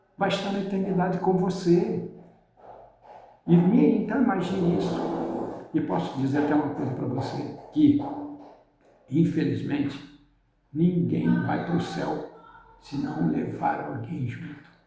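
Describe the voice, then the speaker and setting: A man at a moderate pace, high-pitched, with long, frequent pauses and audible room echo. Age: 60s. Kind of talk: religious motivational talk. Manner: casual, halting.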